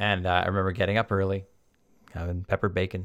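In a very clean recording with a silent background, a man with a very deep, low voice and a British Columbian accent speaks very fast. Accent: Canadian (British Columbia). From Vancouver Island, Canada. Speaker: podcast host. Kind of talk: casual storytelling monologue. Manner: enthusiastic.

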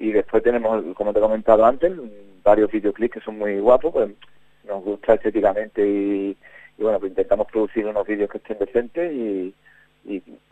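A man speaks with a slight Andalusian accent and a fairly low pitch. His tone is dark and mellow, with ordinary pitch variation. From Huelva, Spain. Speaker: band leader musician. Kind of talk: radio interview. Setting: phone call.

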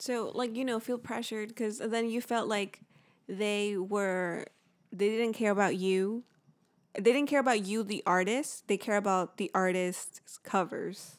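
In a very clean recording with a silent background, a woman with an unremarkable speaking voice talks at a fairly slow pace, using a fairly high pitch and fairly even intonation. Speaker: podcast co-host. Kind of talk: casual chat. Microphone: new handheld mic.

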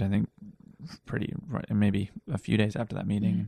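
A man with a fairly low pitch talks at a moderate pace, his voice showing vocal fry. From Wales. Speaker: TV director and producer. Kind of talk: casual chat. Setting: home studio.

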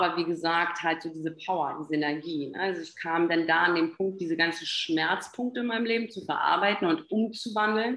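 At a moderate pace, the talking comes in an ordinary speaking voice with fairly even intonation. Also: woman. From Berlin, Germany. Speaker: health and performance coach. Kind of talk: podcast interview.

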